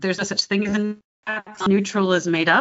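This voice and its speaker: A woman speaks with a slight Californian accent and fairly even intonation. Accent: slightly Californian American. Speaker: dialect coach. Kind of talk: interview chat. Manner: casual, with fillers.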